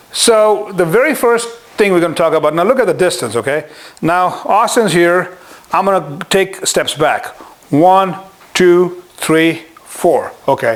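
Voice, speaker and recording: Fairly slow delivery with ordinary pitch variation and noticeable background noise. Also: man. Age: 60s. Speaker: martial arts instructor. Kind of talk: tutorial. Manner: animated.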